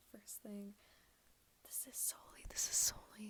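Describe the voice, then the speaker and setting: Someone whispers at a moderate pace. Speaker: ASMR creator. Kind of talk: ASMR soft-spoken talk to camera. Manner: soft-spoken to whispered.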